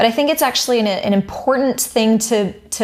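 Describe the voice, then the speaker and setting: Noticeable background noise surrounds a woman whose voice sits at a fairly high pitch. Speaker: vocal coach. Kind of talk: tutorial.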